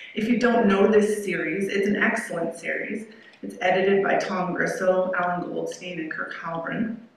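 Strong room echo surrounds a woman speaking with fairly even intonation. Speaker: keynote speaker. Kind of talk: lecture. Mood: warm, appreciative. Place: hall. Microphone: podium.

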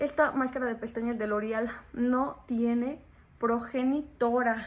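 Light background noise sits under speech delivered at a very slow pace. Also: woman. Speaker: beauty vlogger. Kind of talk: product review chat. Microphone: phone near.

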